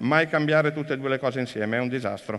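With little noise behind him, a man is talking against a quiet background. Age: 50s. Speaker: business executive; speaker. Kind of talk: conference talk. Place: stage.

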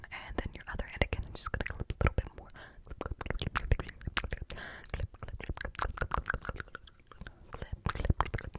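A soft-spoken, whispering woman at a fairly quick pace. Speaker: ASMR roleplay host. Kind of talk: soft-spoken roleplay whisper talk. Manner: soft ASMR whisper, close to mic. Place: home room. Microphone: studio mic.

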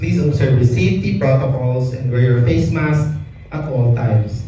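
Amid strong room echo and light background noise, a man speaks at a moderate pace with ordinary pitch variation. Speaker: event announcer playing senior flight crew. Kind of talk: scripted announcement. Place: hall.

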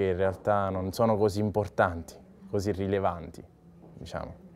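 Speaking at a fairly slow pace, a man uses a fairly low pitch. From Sicily, Ragusa; Sicily. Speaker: physiotherapist. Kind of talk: interview testimony. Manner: hesitant, many fillers. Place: bar. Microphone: lapel.

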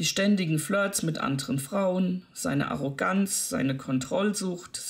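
A natural reading voice delivers the text.

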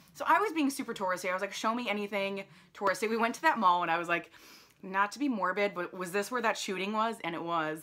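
A woman with an American accent, bright and sharp in tone, with ordinary pitch variation and a very fast pace. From New Jersey, US. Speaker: lifestyle vlogger. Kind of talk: travel vlog, casual talk to camera. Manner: rambling, filler-heavy casual speech. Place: home room. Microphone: phone near.

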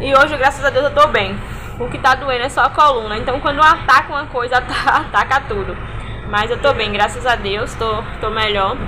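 A woman's raised, projected voice at a moderate pace with ordinary pitch variation, over noticeable background noise. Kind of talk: casual vlog chat. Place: workshop. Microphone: phone near.

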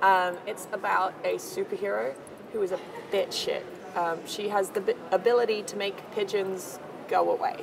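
Over noticeable background noise, a woman talks at a moderate pace. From Australia. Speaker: comedy performer. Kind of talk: casual interview chat. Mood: animated, amused.

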